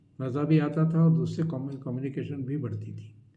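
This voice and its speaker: A man's flat, monotone voice, somewhat breathy and dark and mellow in tone, with audible room echo. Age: 60s. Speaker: life advice YouTuber. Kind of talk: advice talk to camera. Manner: conversational, with hesitations.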